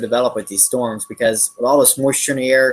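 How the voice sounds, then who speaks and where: A man talks at a fairly quick pace in a medium pitch, his intonation monotone and flat. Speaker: weather broadcaster. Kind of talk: live weather coverage. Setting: live online broadcast. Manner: hesitant, many fillers.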